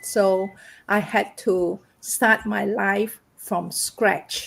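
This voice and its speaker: Very slowly, a woman speaks with a non-native accent. Her pitch is medium and her intonation fairly even. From Malaysia. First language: not English. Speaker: massage therapist and online business owner. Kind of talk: personal testimony in live panel. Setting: livestream.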